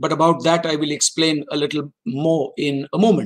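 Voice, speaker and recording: Nothing but quiet lies behind speech delivered at a moderate pace. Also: man. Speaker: former diplomat lecturer. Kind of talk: lecture. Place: office. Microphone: webcam.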